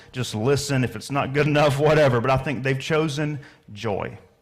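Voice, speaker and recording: With a slight Southern US accent, a man speaks at a fairly quick pace and a fairly high pitch. The room echo is audible. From US South. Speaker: pastor. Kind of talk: sermon. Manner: casual, conversational.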